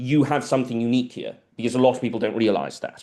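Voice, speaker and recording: The background stays quiet. This man's voice has a dark, mellow tone. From South America. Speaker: biologist. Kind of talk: lecture Q&A. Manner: hesitant, many fillers and repetitions.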